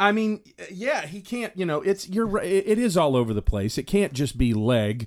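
A man with a Southern US accent speaks in a high pitch at a moderate pace. His voice makes very wide pitch swings on a very clean recording with a silent background. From US South. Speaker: podcast co-host. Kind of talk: casual chat.

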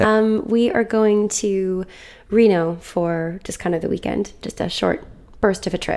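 With an American accent, the voice has a dark, mellow tone. Delivery is fairly slow, with fairly even intonation. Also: woman, medium pitch for a woman. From US Midwest. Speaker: podcast co-host. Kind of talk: casual chat.

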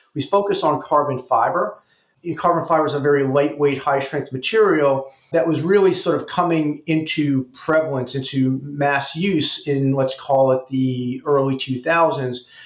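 A man with an American accent and a plain, everyday voice, fairly high in pitch, at a moderate pace. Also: fairly even intonation. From New York, the Bronx. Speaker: investment banker. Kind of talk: interview.

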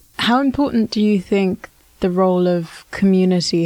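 Soft-spoken, a woman talks at a moderate pace in a medium pitch with ordinary pitch variation. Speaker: podcast host. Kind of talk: interview.

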